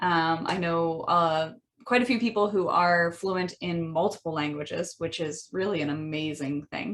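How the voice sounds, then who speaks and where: A woman in a Midwestern American accent, fairly low in pitch, with ordinary pitch variation and a moderate pace. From US Midwest. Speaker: language educator. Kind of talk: podcast monologue. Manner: frequent fillers, um and uh.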